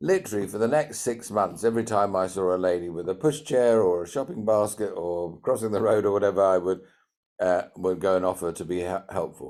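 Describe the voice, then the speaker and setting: A man speaks at a fairly quick pace in a fairly low pitch, with a British accent. The recording is very clean, with a silent background. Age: 60s. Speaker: entrepreneur and CEO mentor. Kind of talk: podcast interview.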